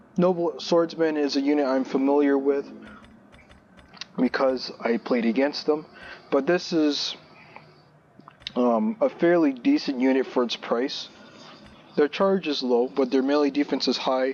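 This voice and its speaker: A man with a fairly high pitch speaks at a fairly slow pace, leaving long, frequent pauses. His loudness stays very even over noticeable background noise. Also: ordinary pitch variation. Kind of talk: gaming video commentary. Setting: low-quality headphone microphone. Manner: casual, hesitant with fillers.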